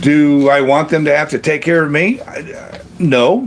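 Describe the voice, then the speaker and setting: Noticeable background noise sits under this recording. A man with an American accent speaks at a fairly high pitch. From Kentucky, US. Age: 60s. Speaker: retiree livestream host. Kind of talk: casual livestream chat reading comments. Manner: halting, many fillers.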